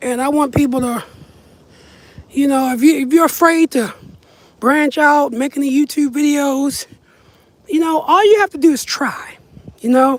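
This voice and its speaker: A high-pitched woman's voice at a moderate pace, ordinary pitch variation, long, frequent pauses throughout. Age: 30s. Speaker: vlogger. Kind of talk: casual chat. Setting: outdoors. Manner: casual, rambling pace.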